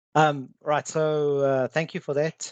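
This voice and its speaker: A man speaks with a South African accent at a fairly slow pace. The sound is dry and close, with no echo. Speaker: cybersecurity consultant. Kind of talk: webinar presentation. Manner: halting, many fillers.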